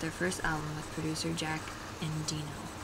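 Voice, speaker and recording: A woman speaks at a moderate pace while noticeable background noise can be heard. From Oklahoma, US South. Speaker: vlogger. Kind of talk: book passage reading. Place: home room. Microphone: earbuds.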